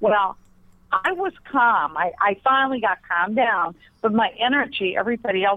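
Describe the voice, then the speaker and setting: An American accent marks this woman's speech, delivered at a moderate pace. She has an ordinary speaking voice with lively intonation. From Pennsylvania. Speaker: psychic private investigator. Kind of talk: interview.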